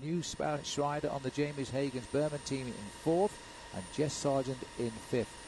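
Over a quiet background, a man speaks at a moderate pace. His medium-pitched voice is somewhat breathy. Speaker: cycling commentator. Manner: fluent, brisk, informative play-by-play, with occasional 'uh' fillers.

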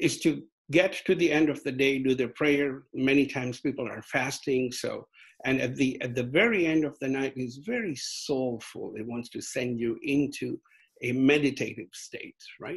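A man's somewhat breathy voice with ordinary pitch variation over a quiet background. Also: moderate pace. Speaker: guest lecturer. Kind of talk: lecture. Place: home room. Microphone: video call.

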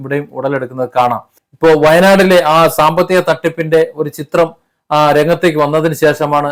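A man speaks in a normal speaking voice, fairly high-pitched, with fairly even intonation. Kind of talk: opinion monologue to camera.

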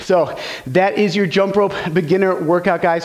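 At a moderate pace, a man talks in a flat monotone. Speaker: fitness trainer. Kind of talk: workout tutorial. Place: gym.

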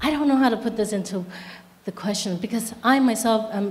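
Using a plain, everyday voice, a woman speaks fairly quickly at a fairly high pitch with ordinary pitch variation. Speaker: audience member asking questions; audience member. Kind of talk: Q&A question. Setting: hall with audience, microphone. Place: hall.

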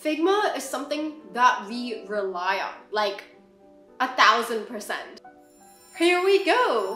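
Speaking very slowly with long, frequent pauses, a woman with an American accent and a high pitch makes very wide pitch swings, with audible room echo and faint music in the background. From England and Hong Kong. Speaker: product designer. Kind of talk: software tutorial narration. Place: home room.

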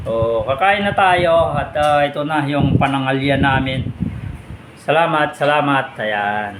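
Speaking very slowly at a fairly high pitch with ordinary pitch variation, a man is heard with audible room echo and noticeable background noise. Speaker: vlogger. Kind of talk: cooking vlog. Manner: halting, many fillers.

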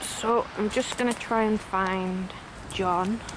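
A woman talks with ordinary pitch variation in a dry sound with no echo, over noticeable background noise. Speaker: urban explorer vlogger. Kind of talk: casual vlog chat. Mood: excited, slightly nervous. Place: open country. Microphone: phone near.

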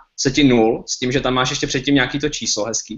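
A man's medium-pitched, ordinary speaking voice with ordinary pitch variation against a quiet background. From Czech Republic. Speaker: webinar host. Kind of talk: webinar presentation. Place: home room. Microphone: webcam.

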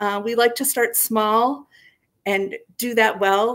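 Against a quiet background, the woman's delivery moves at a fairly slow pace. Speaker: guest. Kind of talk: interview answer. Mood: friendly, upbeat. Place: home room.

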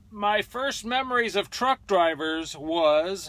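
In a dry recording with no echo, a man speaks with a bright, sharp tone and ordinary pitch variation. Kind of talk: casual vlog chat. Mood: nostalgic, relaxed storytelling. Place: car. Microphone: phone near.

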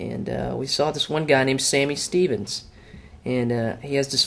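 The man's pitch varies in an ordinary way. He talks at a moderate pace. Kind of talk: casual vlog chat. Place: home room. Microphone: camera far.

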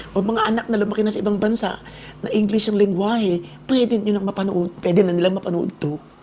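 Against noticeable background noise, a woman with a medium pitch talks at a very fast pace in an animated tone. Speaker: vlogger. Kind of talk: casual vlog talk.

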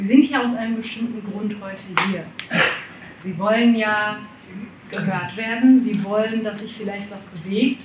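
A woman's fairly high voice at a fairly slow pace, with fairly even intonation, big swings in loudness, long and frequent pauses, and noticeable background noise. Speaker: radio presenter. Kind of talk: event moderation. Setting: event hall with audience. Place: hall.

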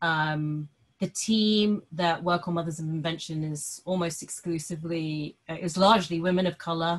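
At a moderate pace, a woman with a fairly low pitch sounds somewhat breathy and keeps a monotone, flat intonation. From Britain, Sri Lankan heritage. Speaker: podcast producer and co-host. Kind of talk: casual chat. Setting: video call. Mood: earnest, enthusiastic. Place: home room. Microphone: webcam.

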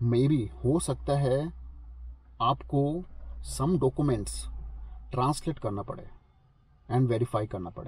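A man speaks with long, frequent pauses. The sound is dry, with no echo. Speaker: vlogger giving visa advice. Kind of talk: casual vlog explainer. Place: car. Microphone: phone near.

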